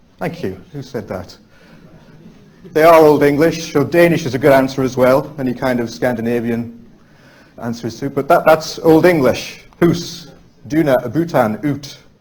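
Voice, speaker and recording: A man with a normal speaking voice, fairly high in pitch, at a moderate pace, with ordinary pitch variation and big swings in loudness. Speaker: lecturer, Anglo-Saxonist. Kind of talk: public lecture.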